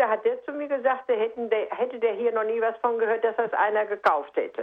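Hers is a plain, everyday voice, fairly high in pitch, with ordinary pitch variation and a moderate pace. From Sauerland, Germany. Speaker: radio listener caller. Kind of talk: phone-in question. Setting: phone call.

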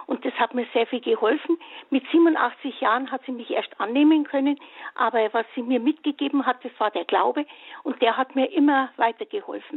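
The intonation is lively. The pace is moderate. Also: woman, high pitch for a woman. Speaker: caller, retired kindergarten teacher. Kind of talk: phone-in testimony.

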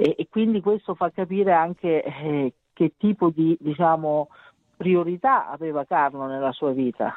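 Moderate pace and ordinary pitch variation from a woman speaking at a fairly low pitch. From Italy. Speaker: mother of a beatified teen. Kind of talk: interview. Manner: halting.

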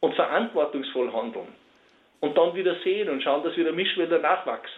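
This man's voice sits high for a man, with lively intonation. He talks at a moderate pace. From Austria, Salzburg region. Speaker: forester and timber builder. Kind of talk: radio interview. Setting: phone call.

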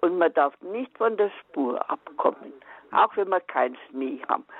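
A woman talks with very wide swings in pitch. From Upper Bavaria. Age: 80s. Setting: phone call.

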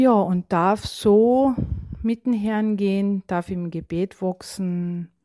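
The sound is dry and close with no echo, and the tone is dark and mellow. Delivery is very slow, with ordinary pitch variation. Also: woman, medium pitch for a woman. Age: 50s. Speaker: faith testimony giver. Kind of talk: testimony.

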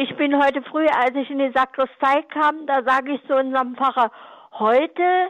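A woman speaks with a high pitch. Her pitch moves up and down in an ordinary way. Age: 80s+. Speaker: caller. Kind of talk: call-in. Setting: phone call. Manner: halting.

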